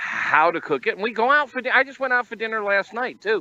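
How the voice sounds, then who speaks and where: With a dry, close sound and no echo, a man projects a raised voice that is high-pitched, bright and sharp. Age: 60s. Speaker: barbecue website founder and cookbook author. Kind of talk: casual chat. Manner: halting, frequent filler words and repeats.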